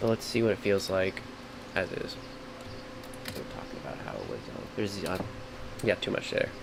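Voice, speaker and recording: Noticeable background noise fills the clip. Through it, a man races along at a very fast pace. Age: 30s. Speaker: streamer and video editor. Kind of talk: live editing tutorial stream. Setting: live stream. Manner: words blur together.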